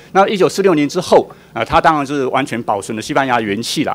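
A man's fairly high voice rushes along at a very fast pace against noticeable background noise. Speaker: policy researcher. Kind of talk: testimony at public hearing.

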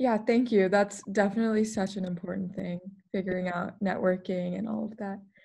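At a fairly quick pace, a woman talks in a medium pitch, somewhat breathy, with monotone, flat intonation. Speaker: peer career advisor. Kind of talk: interview. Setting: video call.

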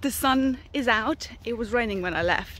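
A woman speaks at a fairly slow pace with ordinary pitch variation, the sound dry with no echo. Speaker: horse owner vlogger. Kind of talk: casual vlog chat. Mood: cheerful, upbeat. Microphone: phone near.

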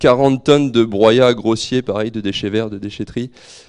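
A man's medium-pitched voice with fairly even intonation, over a quiet background. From Normandy, France (Calvados, near Port-en-Bessin); Normandy, France. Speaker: market gardener. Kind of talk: presentation to an audience. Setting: room with live audience, microphone. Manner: halting, repeats words. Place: hall. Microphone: handheld.

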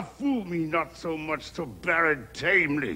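A man's raised, projected voice at a very slow pace. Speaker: stage actor playing an old king. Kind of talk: dramatic verse monologue. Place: studio.

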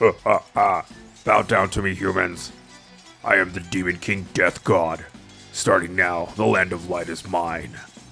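A man puts on a character voice with a very deep, low pitch, speaking at a fairly slow pace while clear music plays in the background. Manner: thunderous, commanding.

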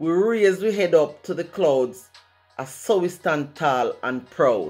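Against faint music in the background, a woman with a Jamaican accent speaks at a very slow pace. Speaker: poet. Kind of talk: poetry reading. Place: home room. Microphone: studio mic.

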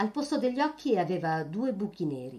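With very wide pitch swings, a woman speaks at a moderate pace in a dark, mellow, dramatic tone. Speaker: audiobook reader. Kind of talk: literary audiobook reading. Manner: dramatic, shifting between narration and gruff dialogue voices; expressive, vivid storytelling pace.

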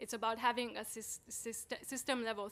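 A woman's voice at a moderate pace. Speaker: conference presenter. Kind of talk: lecture. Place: hall. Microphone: podium.

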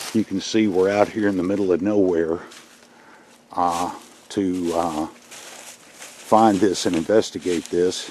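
A man speaks at a fairly slow pace with a very deep, low pitch and monotone, flat intonation, leaving long, frequent pauses. The sound is dry with no echo, over light background noise. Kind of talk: casual commentary. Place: forest. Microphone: phone near.

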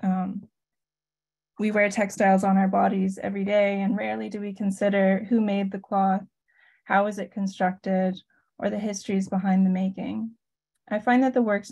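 Against a quiet background, a woman speaks at a fairly quick pace in a flat, monotone way. Her voice is somewhat breathy, with a dark, mellow tone. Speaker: artist and educator; educator. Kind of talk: presentation. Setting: video call. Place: home room. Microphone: video call.

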